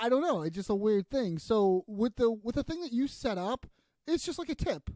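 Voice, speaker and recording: In a Boston accent, a man speaks at a moderate pace with an extremely high pitch and very wide pitch swings. His tone is dark and mellow, and the sound is dry and close with no echo. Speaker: podcast host. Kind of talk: casual chat.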